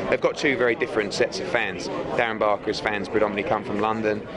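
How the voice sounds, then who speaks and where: A man's fairly low-pitched voice in a British accent at a very fast pace, with fairly even intonation and noticeable background noise. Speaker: boxing promoter. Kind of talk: press conference interview answer.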